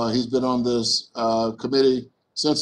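Light background noise sits behind a man. He speaks at a moderate pace in a monotone, flat intonation. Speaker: congressman chairing the hearing. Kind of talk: formal committee hearing proceedings. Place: office. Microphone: webcam.

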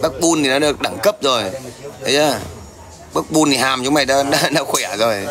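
A man with a fairly high pitch and ordinary pitch variation speaks at a fairly quick pace with long, frequent pauses and very even loudness, over noticeable background noise. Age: 40s. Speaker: livestreamer. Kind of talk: livestream chat and heated rant at viewers. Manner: confrontational, loud. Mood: confrontational, taunting. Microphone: phone near.

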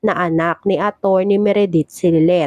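The voice has a dark, mellow tone and ordinary pitch variation, moving at a fairly slow pace in a dry, close sound with no echo. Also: woman. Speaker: storyteller recapping a TV drama. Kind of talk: storytelling narration recapping a drama episode.

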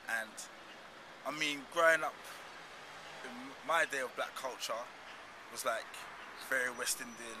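The man talks at a moderate pace. Noticeable background noise sits behind his speech. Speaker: interviewee. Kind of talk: interview answer. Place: street.

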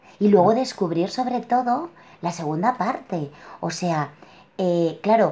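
Very slowly, a woman speaks in a somewhat breathy, dark, mellow tone with lively intonation. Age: 40s. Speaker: client sharing personal story; interviewee. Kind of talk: testimony. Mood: reflective, warm. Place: home room. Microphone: webcam.

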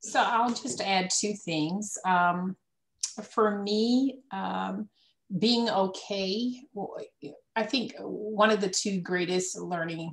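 Somewhat breathy and very slow, a woman with an American accent talks at a medium pitch with ordinary pitch variation. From South Carolina. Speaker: entrepreneur. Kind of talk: panel discussion. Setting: video call.

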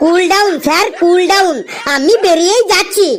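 At an extremely high pitch, a cartoonish character voice moves at a moderate pace over clear background noise. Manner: earnest, cheeky.

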